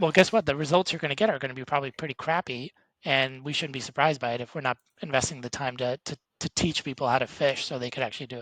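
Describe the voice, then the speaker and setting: A man's fairly high voice at a very fast pace, with big swings in loudness. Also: ordinary pitch variation. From Eastern Europe. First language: Eastern European language. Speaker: entrepreneur, business leader. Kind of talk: podcast interview. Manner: casual, hesitant with fillers.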